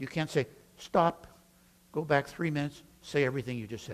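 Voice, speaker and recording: At a moderate pace, the speech shows vocal fry. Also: man. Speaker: preaching professor. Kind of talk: teaching talk about preaching.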